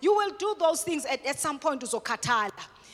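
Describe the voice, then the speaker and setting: A woman speaks in a raised, projected voice. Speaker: guest speaker on mental health at a church. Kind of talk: sermon-style teaching talk. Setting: church with congregation. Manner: swift.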